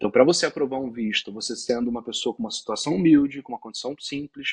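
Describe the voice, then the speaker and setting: Speaking very fast, a man has a fairly high pitch. The sound is dry and close with no echo. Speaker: visa consultant. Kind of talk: interview.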